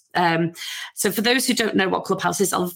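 A woman with a Liverpool accent speaks at a medium pitch with vocal fry and ordinary pitch variation. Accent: Scouse (Liverpool). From Liverpool, England. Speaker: podcast host. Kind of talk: interview. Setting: home garden room studio.

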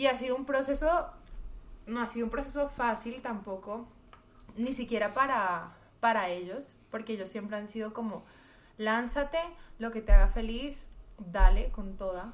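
In a room with audible echo, a woman talks at a moderate pace and fairly high pitch, leaving long, frequent pauses. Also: ordinary pitch variation, big swings in loudness. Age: 20s. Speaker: singer and music student. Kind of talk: casual chat.

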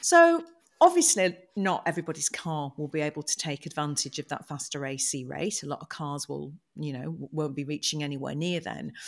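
A woman with a British accent, big swings in loudness, on a very clean recording with a silent background. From UK. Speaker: podcast host. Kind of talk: casual chat.

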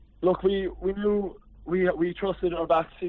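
A man with a Cork accent talks over noticeable background noise. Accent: Cork Irish. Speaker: club captain.

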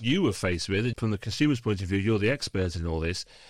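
A man with a British accent speaks with lively intonation on a very clean recording with a silent background. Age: 50s. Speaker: podcast host. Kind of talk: casual chat.

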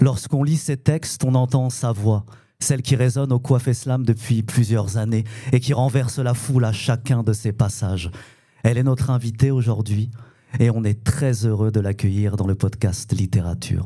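A man's dark, mellow, somewhat breathy tone. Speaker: podcast host. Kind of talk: interview introduction.

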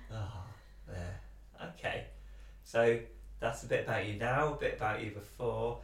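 Long, frequent pauses from a man at a moderate pace, with noticeable background noise. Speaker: podcast host. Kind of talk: casual interview chat.

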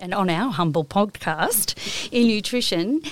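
On a very clean recording with a silent background and a dry, close sound with no echo, a woman with an Australian accent speaks at medium pitch with ordinary pitch variation. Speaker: podcast host. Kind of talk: casual interview; reading intro. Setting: studio.

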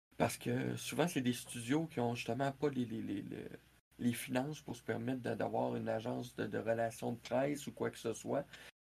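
In a Quebec accent, a man talks at a moderate pace. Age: 40s. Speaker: video game columnist. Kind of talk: live-streamed interview.

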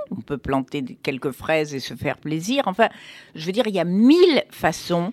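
Lively in intonation, a woman speaks at a fairly slow pace in a dry, close sound with no echo. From Morocco, Fès. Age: 70s. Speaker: cookbook author. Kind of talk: casual chat.

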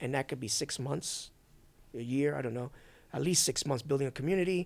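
Over a silent background in a very clean recording, a man with an American accent and a plain, everyday voice talks at a fairly quick pace, his pitch fairly high with ordinary variation. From Brooklyn, New York. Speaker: sneaker YouTuber turned crypto investor. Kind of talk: casual interview chat.

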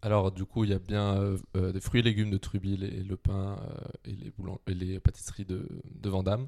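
In a dark, mellow tone, a man speaks with monotone, flat intonation in a dry, close sound with no echo. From Brittany, France (Quimper). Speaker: student, grocery co-founder. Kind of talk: casual interview.

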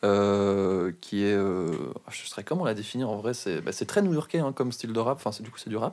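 A man's fairly low voice, a plain, everyday voice, at a moderate pace with ordinary pitch variation and big swings in loudness. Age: 20s. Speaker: podcast guest. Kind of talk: casual chat.

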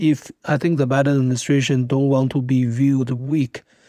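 A man with a Chinese accent speaks in a dark, mellow tone and fairly even intonation, the sound dry and close with no echo. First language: Mandarin Chinese. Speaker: international security academic. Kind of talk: interview.

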